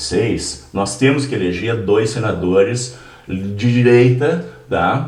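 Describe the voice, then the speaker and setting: Audible room echo and noticeable background noise surround the voice. A man speaks with a fairly low pitch and lively intonation. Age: 70s. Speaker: political party member, podcast guest. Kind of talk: casual political interview. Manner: animated.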